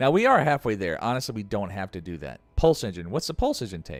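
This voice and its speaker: A man speaks with music in the background. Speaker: video game streamer. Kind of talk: live gameplay commentary. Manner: casual, thinking aloud.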